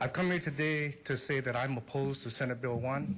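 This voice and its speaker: A man talks at a fairly quick pace in a Hawaiian accent. His intonation stays fairly even. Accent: Hawaiian local English. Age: 50s. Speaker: public testifier at a legislative hearing. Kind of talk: public testimony.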